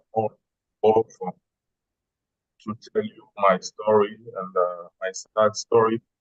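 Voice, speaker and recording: A man at a very slow pace. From DR Congo. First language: French. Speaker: whistleblower. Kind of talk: testimony. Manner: halting.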